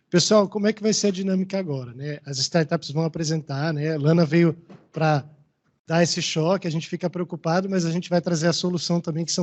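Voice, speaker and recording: At a fairly quick pace, a man talks in a fairly high voice with ordinary pitch variation. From Maranhão, Brazil. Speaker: event moderator. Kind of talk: event moderation.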